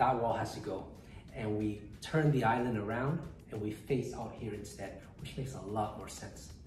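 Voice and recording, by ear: A man speaks at a moderate pace with ordinary pitch variation and a slightly mellow tone. Audible room echo surrounds his voice.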